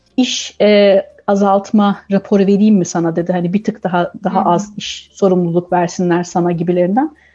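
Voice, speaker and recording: A woman with a dark, mellow, somewhat breathy voice speaks at medium pitch and a moderate pace, her intonation fairly even and hardly any pauses. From Turkey. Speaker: communications professional, expectant mother. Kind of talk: radio interview.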